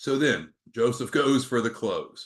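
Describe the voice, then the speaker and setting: With a plain, everyday voice, a man speaks at medium pitch with lively intonation. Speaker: business trainer. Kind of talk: sales training webinar talk.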